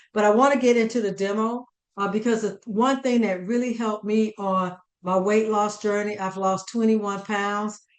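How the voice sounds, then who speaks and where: With ordinary pitch variation and a moderate pace, this is an ordinary speaking voice. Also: woman. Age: 60s. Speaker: chef and dietitian giving a cooking demo. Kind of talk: cooking demonstration. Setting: conference demo, on camera.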